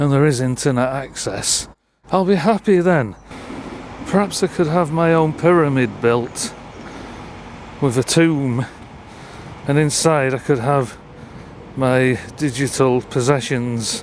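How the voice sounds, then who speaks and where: A man with a fairly high voice speaks in a Lancashire accent at a fairly slow pace, his loudness very even and his speech broken by long, frequent pauses. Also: ordinary pitch variation. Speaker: urban explorer vlogger. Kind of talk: vlog narration.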